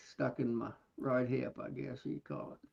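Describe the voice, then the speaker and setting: A soft-spoken man. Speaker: beekeeper. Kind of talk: casual chat. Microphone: too quiet.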